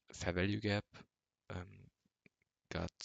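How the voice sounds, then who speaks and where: A man speaks with a German accent at a fairly low pitch. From Germany. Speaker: amateur trader vlogger. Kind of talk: unscripted screen-share tutorial. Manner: halting, many filler words.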